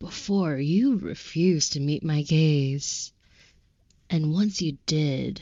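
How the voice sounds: A woman puts on a character voice. She pitches it very deep and low.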